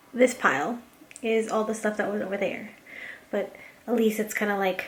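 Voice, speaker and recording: The speaker's intonation stays fairly even over noticeable background noise. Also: woman, fairly high pitch for a woman, moderate pace. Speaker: vlogger. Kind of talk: casual vlog talk. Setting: at home. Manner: casual, filler-heavy.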